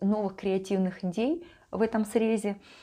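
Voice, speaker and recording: A woman speaks very slowly in a warm yet dark, mellow tone against a quiet background. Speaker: life coach and vlogger. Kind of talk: monologue to camera, vlog-style talk. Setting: home video recording. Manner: warm, conversational, reflective. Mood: calm, reflective. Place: home room. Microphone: lapel.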